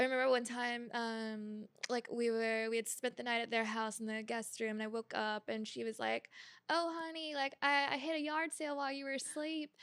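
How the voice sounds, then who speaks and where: Speech moves at a moderate pace with hardly any pauses. Pitch varies in an ordinary way. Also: woman, fairly high pitch for a woman. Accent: slight Georgia. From US South, Georgia. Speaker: podcast host. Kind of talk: casual chat.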